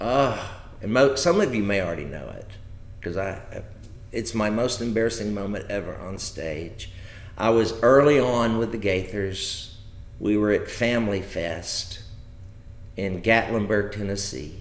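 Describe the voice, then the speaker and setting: A man with an American accent speaks at a fairly slow pace, pausing long and often, with ordinary pitch variation and big swings in loudness. Noticeable background noise and audible room echo surround him. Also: fairly low pitch for a man. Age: 60s. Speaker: comedian. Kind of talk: casual chat. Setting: live stream from home.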